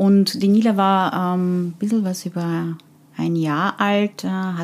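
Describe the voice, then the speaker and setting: The speaker goes at a very slow pace with fairly even intonation, recorded very cleanly over a silent background. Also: woman. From Austria (from Afghanistan at age ten). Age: 40s. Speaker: HR consultant and leadership coach. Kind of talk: interview. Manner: hesitant, many fillers.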